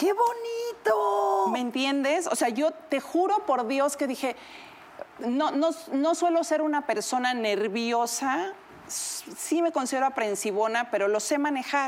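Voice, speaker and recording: Over noticeable background noise, a woman with a high voice speaks at a very slow pace, her pitch swinging very widely while her loudness stays very even. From Mexico, Huasteca Potosina. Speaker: TV personality. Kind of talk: casual chat.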